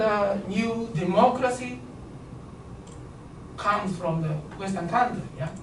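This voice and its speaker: The speaker has a Japanese accent, heard against noticeable background noise. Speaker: lecturer. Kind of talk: lecture. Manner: halting.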